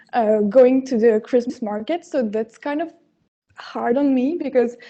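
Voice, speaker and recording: At a very slow pace, a woman with a French accent speaks in a high pitch with a dark, mellow tone and ordinary pitch variation. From France. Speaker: competition contestant. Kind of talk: pitch presentation. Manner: halting.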